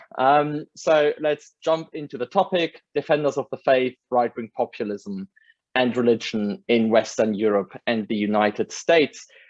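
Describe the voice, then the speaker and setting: A man with a German accent and lively intonation, in a dry, close sound with no echo. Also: quiet background. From Germany. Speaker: academic lecturer. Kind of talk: lecture. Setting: video call.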